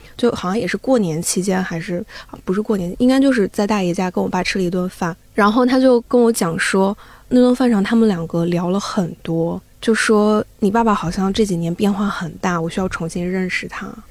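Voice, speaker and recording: A woman talks at a fairly quick pace with a medium pitch and ordinary pitch variation. It is a plain, everyday voice. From eastern China (Zibo, Shandong). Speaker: audio editor. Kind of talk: casual chat.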